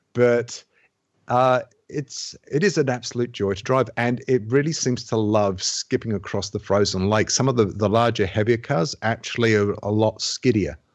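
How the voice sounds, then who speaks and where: A plain, everyday voice at a moderate pace, with ordinary pitch variation over a quiet background. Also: man, medium pitch for a man. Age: 30s. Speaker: video game podcast panelist. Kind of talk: casual chat.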